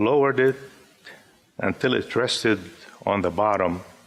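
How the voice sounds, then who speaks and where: A man speaks with an Arabic accent. His pace is fairly slow. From Syria (Damascus). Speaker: poet. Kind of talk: poetry reading.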